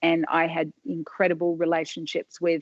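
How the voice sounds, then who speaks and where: In an Australian accent, a woman speaks at a moderate pace and a fairly low pitch, with a dry, close sound and no echo. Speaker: hair salon owner. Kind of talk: interview answer.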